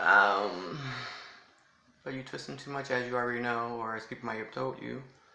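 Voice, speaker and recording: There is noticeable background noise and audible room echo as a man talks at a medium pitch with fairly even intonation. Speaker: lifestyle vlogger. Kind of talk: casual vlog talk. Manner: toned down, subdued here.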